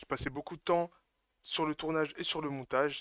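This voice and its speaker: The recording of this man is very clean with a silent background. His tone is bright and sharp. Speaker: gaming YouTuber. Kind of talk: video intro to viewers; casual gaming commentary. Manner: animated.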